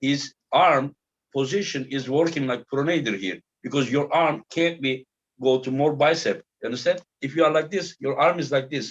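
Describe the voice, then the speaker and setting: Speaking with a Turkish accent, a man uses a fairly high pitch with ordinary pitch variation at a moderate pace. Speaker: arm wrestling show host. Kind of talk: casual interview chat.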